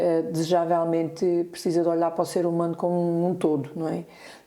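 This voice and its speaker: A dark, mellow tone at a moderate pace. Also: woman. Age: 60s. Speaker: nurse-midwife and integrative therapist. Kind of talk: podcast interview. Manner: halting, many fillers.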